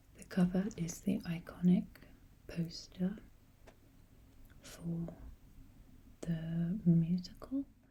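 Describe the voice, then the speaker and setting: Soft-spoken and somewhat breathy, a woman talks in a calm, dark, mellow tone with fairly even intonation. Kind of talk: ASMR book collection talk, soft-spoken. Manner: soft-spoken, calm, slow.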